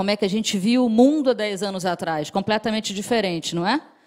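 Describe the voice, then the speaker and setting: Her intonation rises and falls in a lively way. Behind this woman, the background stays quiet. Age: middle-aged. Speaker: marketing professor. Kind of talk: presentation talk. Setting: stage with audience. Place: hall. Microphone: handheld.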